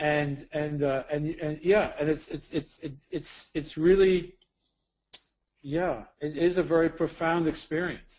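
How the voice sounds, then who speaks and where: With a Brooklyn accent, a man speaks at a very slow pace. His pitch is fairly high and his intonation monotone and flat. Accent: New York (Brooklyn). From US Northeast (Brooklyn, New York). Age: 50s. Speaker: documentary subject, ex-addict. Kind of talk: interview. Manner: halting, many repetitions.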